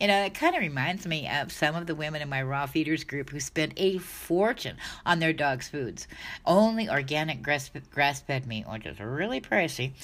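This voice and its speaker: Her very deep, low voice moves through very wide pitch swings at a moderate pace, in a very clean recording with a silent background. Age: 60s. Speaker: dog health advice creator. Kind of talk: casual monologue. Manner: conversational, with filler words.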